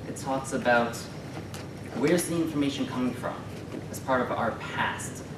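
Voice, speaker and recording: A man at a moderate pace, long and frequent pauses, noticeable background noise behind him. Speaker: graduate student presenter. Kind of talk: conference presentation. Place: classroom. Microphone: camera far.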